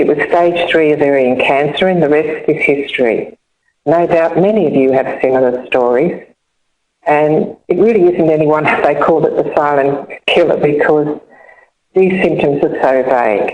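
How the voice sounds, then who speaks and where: With a very deep, low pitch and ordinary pitch variation, a woman speaks at a moderate pace and at a very even loudness. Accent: Australian. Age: 70s. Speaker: cancer survivor and charity ambassador. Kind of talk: personal testimony. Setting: online webinar.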